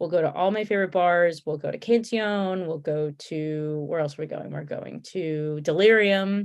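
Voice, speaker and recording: A woman with a Connecticut accent, fairly low pitch, ordinary pitch variation, a moderate pace and hardly any pauses. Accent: Connecticut accent, stretched A's. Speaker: beer tour host. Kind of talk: casual chat. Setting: live stream.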